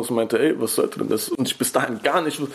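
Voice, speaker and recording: Noticeable background noise sits under a male voice pitched in the medium range. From Berlin, Germany. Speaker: rapper. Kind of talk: interview.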